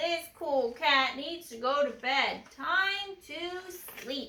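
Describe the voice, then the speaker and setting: A woman in a put-on character voice, high in pitch and very slow. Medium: read story. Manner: laid-back, cool.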